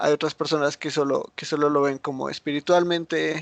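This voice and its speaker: Against a quiet background, a man talks at a fairly quick pace. His intonation is monotone and flat. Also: dry, close sound with no echo. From United States. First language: English (speaking Spanish). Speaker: Bible teacher. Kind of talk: Bible study teaching. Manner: halting, frequent repetitions and fillers.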